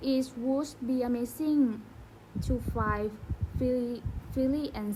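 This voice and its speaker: Taking long, frequent pauses at a very slow pace, a woman with a Thai accent speaks in a high pitch with a dark, mellow tone and fairly even intonation. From Thailand. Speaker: student. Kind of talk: casual chat. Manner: soft-spoken.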